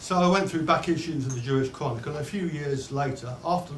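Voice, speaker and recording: A man talks very fast in a fairly high pitch with lively intonation. Noticeable background noise runs underneath. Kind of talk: public speech to an audience.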